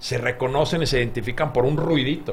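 A man's medium-pitched voice with audible room echo. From Finland. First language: Finnish (speaking Spanish). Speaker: game designer. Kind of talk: interview.

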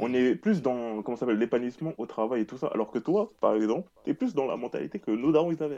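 A man's dark, mellow voice at medium pitch, lively in intonation, at a very fast pace with hardly any pauses. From Marseille, France. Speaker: podcast host. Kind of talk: casual chat. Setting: remote call.

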